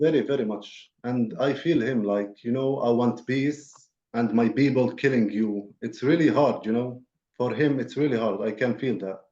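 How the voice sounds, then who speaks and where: In an Arabic accent, the voice has a dark, mellow tone with ordinary pitch variation. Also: man, medium pitch for a man, moderate pace. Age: 20s. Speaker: peace program participant. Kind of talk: webinar interview. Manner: halting.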